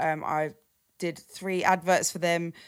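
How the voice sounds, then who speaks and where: In a very clean recording with a silent background, a woman with a southern English accent speaks at a fairly low pitch in a monotone, flat intonation. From London, then Cambridgeshire countryside. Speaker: drum and bass and garage DJ. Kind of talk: casual interview chat.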